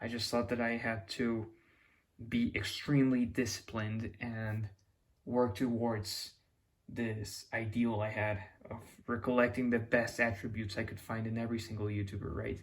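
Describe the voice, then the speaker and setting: On a very clean recording with a silent background, a man with a Mexican accent speaks at a moderate pace and medium pitch, somewhat breathy and monotone, with flat intonation. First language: Spanish. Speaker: YouTuber. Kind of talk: casual monologue. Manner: halting, with restarts.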